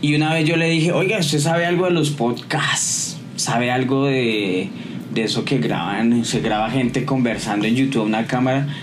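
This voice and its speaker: With lively intonation but very even loudness, a man of medium pitch speaks at a moderate pace amid noticeable background noise and audible room echo. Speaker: podcast co-host. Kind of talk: casual chat.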